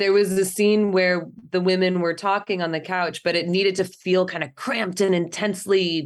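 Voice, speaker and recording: This woman has an ordinary speaking voice, a fairly low pitch and an American accent, and she talks at a fairly quick pace. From California, Central Valley (near Fresno). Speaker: cellist and film director. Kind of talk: interview.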